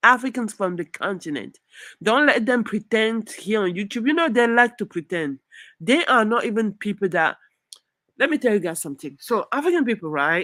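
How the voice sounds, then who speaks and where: A woman with a French accent speaks at a fairly high pitch in a bright, sharp tone with very wide pitch swings. The recording is very clean, dry and close with no echo, over a silent background. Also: moderate pace. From southern Nigeria. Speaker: YouTuber. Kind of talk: live stream commentary. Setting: live stream. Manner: halting with fillers; animated.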